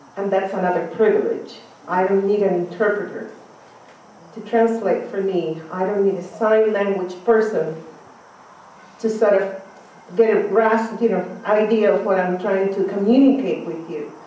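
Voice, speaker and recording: The speech has long, frequent pauses and fairly even intonation. Noticeable background noise and audible room echo come through. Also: woman, medium pitch for a woman, moderate pace. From Cuba. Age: 50s. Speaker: conference speaker.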